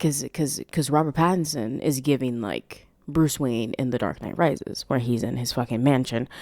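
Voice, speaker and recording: A woman with a very deep, low pitch speaks in a relaxed tone on a very clean recording with a silent background. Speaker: podcast host; aspiring voice actress. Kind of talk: casual film commentary. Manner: relaxed, casual.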